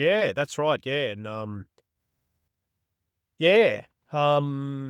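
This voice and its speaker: A man with an Australian accent speaks at a very slow pace with long, frequent pauses. His pitch is fairly high and his intonation lively. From Australia, far north Queensland. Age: 40s. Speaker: bowhunter. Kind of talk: casual chat. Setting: podcast. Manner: halting.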